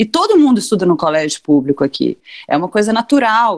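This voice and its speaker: A woman's voice with very wide pitch swings. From Brazil, interior of Minas Gerais. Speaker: cultural producer and press officer. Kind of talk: casual chat.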